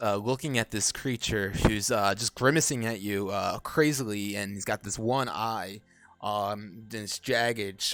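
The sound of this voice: The text is read in an unforced voice. Pitch moves up and down in an ordinary way.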